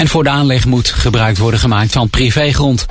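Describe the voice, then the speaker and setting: With music in the background, a man keeps fairly even intonation at a moderate pace. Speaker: local news reader. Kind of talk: news reading. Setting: radio studio. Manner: formal, measured.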